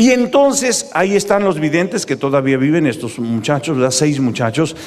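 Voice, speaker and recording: A man at a fairly quick pace, with lively intonation. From Mexico. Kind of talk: preaching talk to live audience. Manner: animated. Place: stadium. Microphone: handheld.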